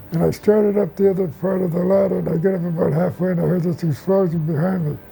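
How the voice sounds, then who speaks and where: Music in the background under fairly even intonation. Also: man. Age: 90s. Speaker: war veteran. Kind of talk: testimony. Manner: halting.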